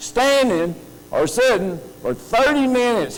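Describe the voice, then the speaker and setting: In a room with audible echo, a man with a high pitch talks at a fairly slow pace, his tone animated and his intonation lively. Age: 60s. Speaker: conference speaker, health technology institute director. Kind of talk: conference talk.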